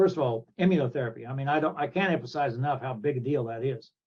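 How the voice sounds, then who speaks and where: In a Midwestern US accent, a man talks at a fairly quick pace and a medium pitch. His voice is somewhat breathy, with ordinary pitch variation. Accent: US Midwest. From Kansas. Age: 70s. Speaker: thoracic surgeon. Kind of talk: interview.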